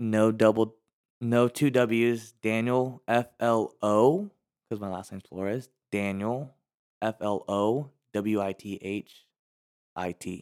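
A man with an American accent speaks at a medium pitch and a very slow pace. His pitch varies in an ordinary way, and the sound is dry and close with no echo. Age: 20s. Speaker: podcast guest, social media and sales worker. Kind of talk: casual chat. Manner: animated.

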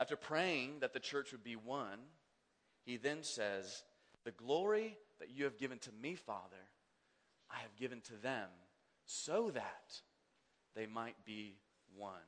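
With an American accent, a man at medium pitch speaks fairly slowly with lively intonation and long, frequent pauses. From Kansas, US Midwest. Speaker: pastor. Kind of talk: sermon.

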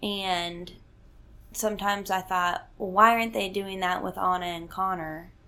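With a Southern US accent and a bright, sharp tone, a woman speaks at a medium pitch and moderate pace with monotone, flat intonation in audible room echo. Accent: Southern American. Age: 20s. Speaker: host's daughter, works at relationship nonprofit. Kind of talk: casual chat. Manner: laughs often.

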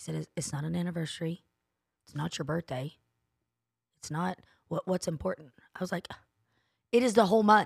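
Recorded very cleanly against a silent background, a woman with a Southern US accent talks at a fairly quick pace in an animated tone, her fairly low voice showing ordinary pitch variation and long, frequent pauses. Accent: US South. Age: 40s. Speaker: podcast co-host. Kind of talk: casual chat. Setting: studio.

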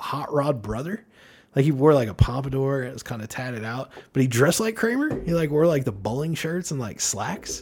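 On a very clean recording with a silent background, a man speaks at a fairly quick pace and a fairly high pitch. His somewhat breathy voice has lively intonation and big swings in loudness. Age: 40s. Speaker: podcast guest. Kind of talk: casual chat.

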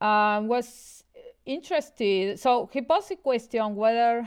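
Against a quiet background, a woman with a Spanish accent speaks very slowly at a fairly high pitch. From Argentina, Buenos Aires. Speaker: mathematics professor. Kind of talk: interview explaining mathematics. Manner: hesitant, many fillers.

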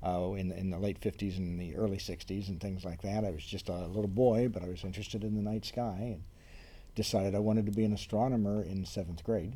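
Man with an American accent, fairly low in pitch with a dark, mellow tone, fairly even intonation, very fast pace, and audible room echo. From Ohio, US Midwest. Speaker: planetarium curator. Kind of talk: interview conversation.

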